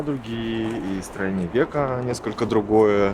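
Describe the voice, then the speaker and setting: Noticeable background noise sits under the medium-pitched voice of a man. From Buryatia, Ulan-Ude. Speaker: interviewee. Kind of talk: interview testimony.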